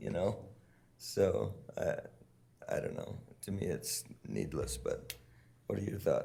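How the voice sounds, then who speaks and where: A man with long, frequent pauses and audible room echo. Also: fairly slow pace. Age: 60s. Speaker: mayor chairing city council. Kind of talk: council meeting debate.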